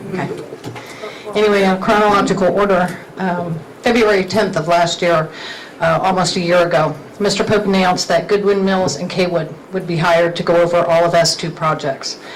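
A woman with a fairly low pitch and fairly even intonation talks at a fairly quick pace with long, frequent pauses, amid noticeable background noise and audible room echo. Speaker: resident speaking at public comment. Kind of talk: public comment. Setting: county council meeting. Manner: loud.

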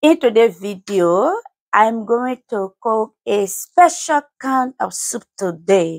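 Nothing can be heard behind the voice. It belongs to a woman. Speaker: home cooking vlogger. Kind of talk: casual vlog chat. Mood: warm, cheerful then reflective. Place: kitchen. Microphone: lapel.

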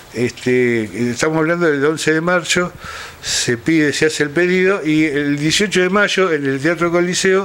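A man's fairly high voice with lively intonation, at a moderate pace, over light background noise. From Buenos Aires province, Argentina. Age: 60s. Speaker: historian. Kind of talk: interview. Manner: halting. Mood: calm, explanatory. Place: home room.

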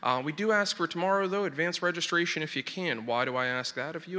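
A man's bright, sharp tone at a fairly quick pace, with ordinary pitch variation. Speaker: host introducing the program. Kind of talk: event introduction and announcements. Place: hall. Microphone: podium.

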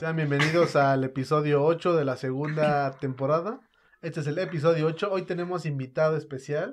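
Fairly high in pitch, a man speaks at a fairly quick pace. His intonation stays fairly even.

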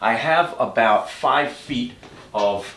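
Audible room echo surrounds the voice. The speaker is a man. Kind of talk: tutorial. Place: garage.

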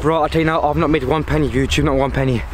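Over light background noise, a man speaks at a very fast pace in a monotone, flat intonation, the sound dry with no echo. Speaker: vlogger. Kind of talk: casual vlog chat. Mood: nervous, joking. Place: waterside.

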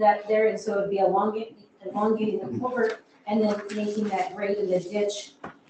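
A woman speaks at a moderate pace with little pitch movement. Her tone is dark and mellow, and there is audible room echo.

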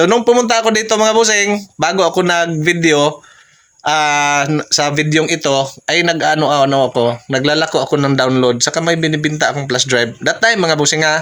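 Noticeable background noise sits behind a man speaking at a moderate pace with fairly high pitch and ordinary pitch variation. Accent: Visayan. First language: Cebuano (Bisaya) (speaking Tagalog). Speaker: vlogger. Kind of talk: casual vlog narration. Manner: halting, many fillers.

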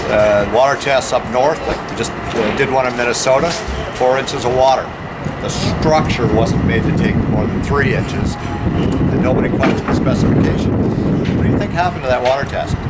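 Music plays in the background. Over it, a man speaks with ordinary pitch variation. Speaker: waterproofing trainer. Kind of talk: training talk to workers. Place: street. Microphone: headset.

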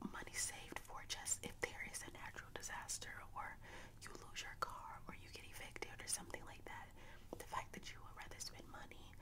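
Whispering and soft-spoken, a woman talks at a fairly quick pace over loud background noise. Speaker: vlogger. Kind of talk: casual vlog chat, opinion talk. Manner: soft close-mic whisper. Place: home room. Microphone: studio mic.

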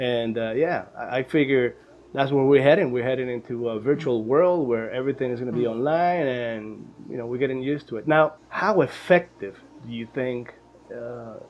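A man talks at a moderate pace with a medium pitch and ordinary pitch variation. His loudness swings widely. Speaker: podcast host. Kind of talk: podcast interview questions. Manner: casual, friendly. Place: home room. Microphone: earbuds.

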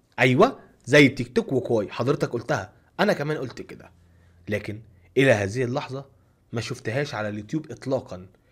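A man speaks with ordinary pitch variation and a somewhat breathy sound. His loudness swings widely against a quiet background. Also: moderate pace. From Egypt. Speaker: YouTube content creator. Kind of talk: tutorial. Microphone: studio mic.

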